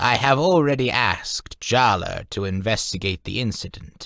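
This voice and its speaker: A man's put-on character voice, medium in pitch, with lively intonation and a moderate pace, on a very clean recording with a silent background. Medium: read story. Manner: solemn, measured.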